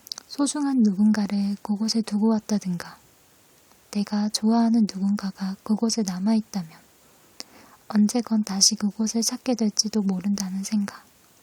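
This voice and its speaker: The voice is soft-spoken, moving at a moderate pace. Background noise is noticeable. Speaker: ASMR creator. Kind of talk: essay reading.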